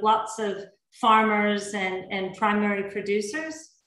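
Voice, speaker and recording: A woman with an American accent amid audible room echo. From Oregon, US West Coast. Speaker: chef. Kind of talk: cooking demonstration. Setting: video call from home. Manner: hesitant, many fillers.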